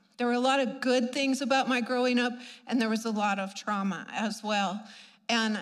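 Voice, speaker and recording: A woman talks with a fairly high pitch and ordinary pitch variation. Room echo is audible. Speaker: preacher. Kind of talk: sermon. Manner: animated.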